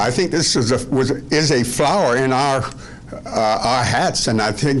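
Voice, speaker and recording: Noticeable background noise and audible room echo around a man at medium pitch, speaking at a fairly slow pace with ordinary pitch variation. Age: 80s+. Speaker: citizen speaking at council meeting. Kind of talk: public comment. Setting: council meeting room. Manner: halting, many fillers.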